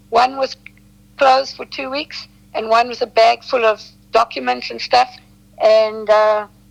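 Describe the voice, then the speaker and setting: Speaking with a South African accent, a woman has a fairly high pitch. She talks at a fairly slow pace with long, frequent pauses. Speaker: detox specialist. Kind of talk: interview. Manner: halting.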